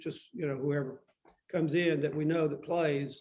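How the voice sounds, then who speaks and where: Here is a man with a Tennessee accent and a fairly high pitch. His pace is fairly quick and his intonation fairly even. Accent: Southern US (Tennessee). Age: 70s. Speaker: musician. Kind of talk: casual chat.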